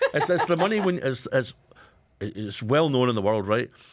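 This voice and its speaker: Here a man talks with a Scottish accent. His pace is fairly quick. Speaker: radio co-host, company managing director. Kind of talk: radio panel discussion.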